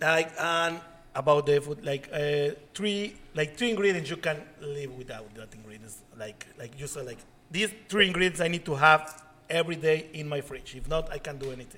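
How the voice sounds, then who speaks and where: The speaker has a Spanish accent, a moderate pace and ordinary pitch variation. Loudness swings widely, and there is noticeable background noise. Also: man, fairly high pitch for a man. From Mexico. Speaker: chef and podcast co-host. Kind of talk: casual chat.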